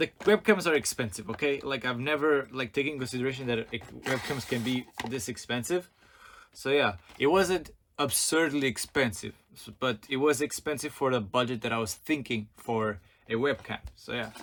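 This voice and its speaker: This is a man with an ordinary speaking voice. He sits at a medium pitch with ordinary pitch variation. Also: moderate pace. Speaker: YouTuber. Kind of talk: unboxing vlog. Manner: casual, filler-heavy.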